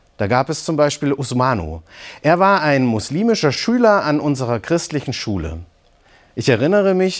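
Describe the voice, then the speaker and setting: At a moderate pace, a man is speaking. The recording is very clean, with a silent background. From East Germany, Eisenach (Thuringia). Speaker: pastor. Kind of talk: scripted broadcast reflection. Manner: calm, measured.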